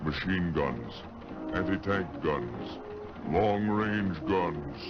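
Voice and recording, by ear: A man uses a put-on character voice, low in pitch with lively intonation. He speaks at a very slow pace over clear music in the background.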